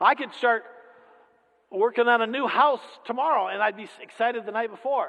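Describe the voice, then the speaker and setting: A man's extremely high, bright and sharp voice, raised and projected, with fairly even intonation, big swings in loudness, a fairly quick pace and long, frequent pauses. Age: 60s. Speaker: lay preacher. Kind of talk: sermon.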